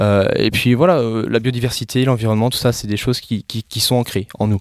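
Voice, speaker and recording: In a very clean recording with a silent background and a dry, close sound with no echo, a man speaks at a fairly quick pace with fairly even intonation. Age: 20s. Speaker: entrepreneur. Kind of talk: interview. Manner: halting.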